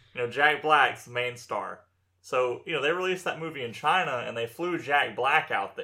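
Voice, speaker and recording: He has an ordinary speaking voice, fairly high for a man. His pace is moderate and his pitch variation ordinary. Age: young. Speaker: podcast co-host. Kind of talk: casual chat.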